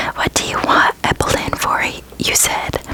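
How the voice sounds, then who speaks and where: A whisper against noticeable background noise. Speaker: ASMR creator. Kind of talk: reading aloud. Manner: whispering; slow.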